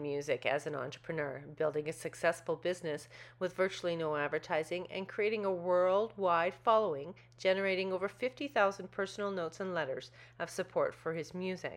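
Fairly low in pitch, a woman speaks in an unremarkable speaking voice with ordinary pitch variation. The background is quiet. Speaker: podcast host. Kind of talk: interview.

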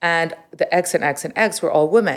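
A woman with a normal speaking voice, fairly low in pitch, at a moderate pace with lively intonation, on a very clean recording with a silent background. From Montreal, Canada (early childhood in Riyadh). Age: 40s. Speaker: retail executive and business consultant. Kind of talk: interview conversation.

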